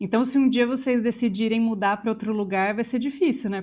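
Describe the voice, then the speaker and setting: A woman with a Brazilian accent at a fairly quick pace, with ordinary pitch variation, on a very clean recording with a silent background. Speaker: podcast host, journalist and voice actress. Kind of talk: casual chat.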